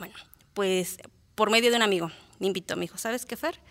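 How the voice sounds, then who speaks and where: A woman with lively intonation on a very clean recording with a silent background. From Mexico, Morelos (born in Guerrero). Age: 30s. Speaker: ultramarathon runner. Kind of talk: interview. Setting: studio.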